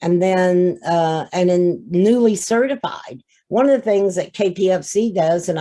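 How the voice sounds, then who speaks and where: A woman speaks at a fairly slow pace, her pitch fairly low and her tone dark and mellow. Her pitch varies an ordinary amount. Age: 70s. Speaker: family peer support trainer. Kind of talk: conference workshop presentation. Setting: video call.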